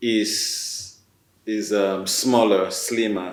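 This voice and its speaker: A man speaks with a Nigerian accent at a fairly low pitch, his intonation flat and monotone, with audible echo from the room. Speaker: writer, newcomer to Canada. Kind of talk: panel discussion. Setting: video call. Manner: halting, many fillers.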